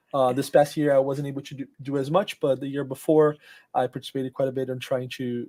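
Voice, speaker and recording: A dark, mellow tone with monotone, flat intonation. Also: man. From Brazil, Rio de Janeiro. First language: Portuguese. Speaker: software engineer. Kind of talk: interview. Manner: halting, many fillers.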